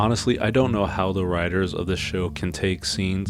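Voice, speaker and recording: A man speaks with a fairly low pitch at a moderate pace. Noticeable background noise runs behind him. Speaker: video essayist, cartoon reviewer. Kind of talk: video essay commentary. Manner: monotone.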